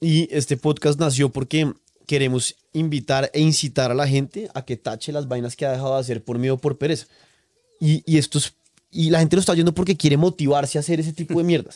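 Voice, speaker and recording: Over a quiet background, a man talks at a fairly quick pace in a fairly high pitch with a dark, mellow tone, ordinary pitch variation and a dry sound with no echo. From Colombia. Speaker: podcast host. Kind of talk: casual chat. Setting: on location at guest's farm. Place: home room. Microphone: studio mic.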